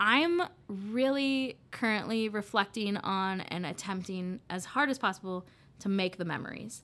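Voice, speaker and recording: A woman with an American accent talks in an unremarkable speaking voice at a medium pitch and fairly slow pace, her intonation lively. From Iowa (Des Moines, Beaverdale). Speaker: college alumna, coffee company employee. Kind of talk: casual interview.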